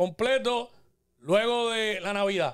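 The man's voice sits at an extremely high pitch. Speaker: show host. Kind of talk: casual chat. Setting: studio.

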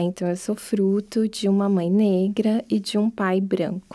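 A woman's fairly high voice with a dark, mellow tone, fairly even intonation and a fairly slow pace, on a very clean recording with a silent background. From Brazil, interior of São Paulo state (Piracicaba). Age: young. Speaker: anthropologist and university lecturer. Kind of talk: interview, life story.

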